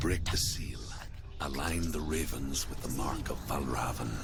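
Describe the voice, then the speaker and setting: The speaker uses a put-on character voice at a moderate pace. Loud noise fills the background. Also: man. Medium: machinima. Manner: calm, instructive.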